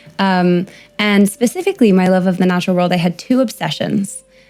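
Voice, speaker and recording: A woman with an American accent at a fairly quick pace, ordinary pitch variation, and music in the background. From US, New York City. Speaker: primatologist. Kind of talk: podcast interview.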